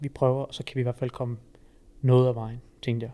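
A man talks at a moderate pace in a medium pitch with a dark, mellow tone. His intonation is monotone and flat. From Jutland, Denmark (Fredericia). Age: 20s. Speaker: university student and personal trainer. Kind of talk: casual podcast interview.

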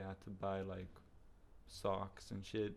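A man speaks at a fairly slow pace. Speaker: podcast guest. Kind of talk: casual chat.

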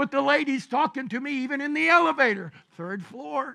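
A man talks at a fairly quick pace in a raised, projected voice. His pitch is extremely high, with a bright, sharp tone. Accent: Southern US. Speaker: pastor. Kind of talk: sermon. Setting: church.

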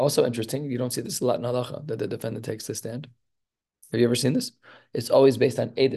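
The voice has a dark, mellow tone and is somewhat breathy. Words come at a very fast pace. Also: man, medium pitch for a man. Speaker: rabbi teaching Talmud class. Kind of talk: lecture.

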